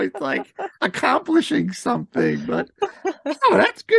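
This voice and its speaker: A man speaks fairly slowly. His sound is dry and close, without any echo. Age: 60s. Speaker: podcast host. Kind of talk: interview.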